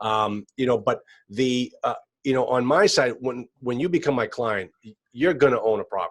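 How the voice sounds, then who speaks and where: A man's unremarkable speaking voice at medium pitch, with big swings in loudness. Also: ordinary pitch variation, moderate pace. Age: 50s. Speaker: real estate attorney and multifamily investor. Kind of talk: podcast interview.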